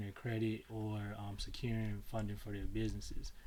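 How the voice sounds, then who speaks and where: This man has an American accent and speaks at a moderate pace. Room echo can be heard in the recording. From Chicago, US Midwest. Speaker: tax business owner and mentor. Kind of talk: webinar presentation. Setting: video webinar. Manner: casual, many fillers (um, uh).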